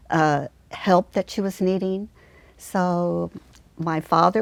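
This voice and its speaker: A woman speaks at a fairly low pitch. The background is quiet. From Mexico. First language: Spanish. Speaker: school social worker. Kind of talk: interview.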